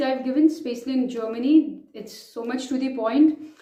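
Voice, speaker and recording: Someone with an Indian accent talks with ordinary pitch variation, and the room echo is audible. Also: woman. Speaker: vlogger, chartered accountant. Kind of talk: advice vlog.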